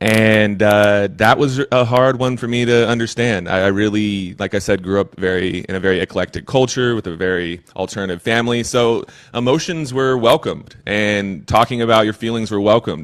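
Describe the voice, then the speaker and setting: A man with a Texan accent and a fairly low pitch talks at a moderate pace with hardly any pauses and ordinary pitch variation, over a quiet background. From Texas, Austin. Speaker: recovery coach. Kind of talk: interview. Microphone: occasional crackles from a mic problem.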